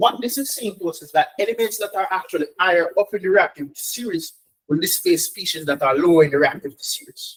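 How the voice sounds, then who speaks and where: Speaking very fast with lively intonation, a man shows big swings in loudness. His pitch is high. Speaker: chemistry tutor. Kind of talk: online lesson. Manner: animated.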